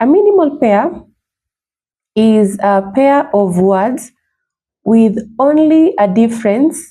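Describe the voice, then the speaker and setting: A woman's somewhat breathy, dark, mellow voice at a fairly high pitch, very slow pace and lively intonation. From Kenya, Taita region. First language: Kidawida (Taita). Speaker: linguist and language tutor. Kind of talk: tutorial. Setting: video recording, reading from notes. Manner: slow, deliberate.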